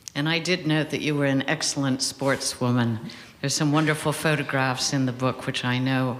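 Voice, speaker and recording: A soft-spoken delivery at a moderate pace over noticeable background noise. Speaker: interviewer. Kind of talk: interview. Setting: stage with audience.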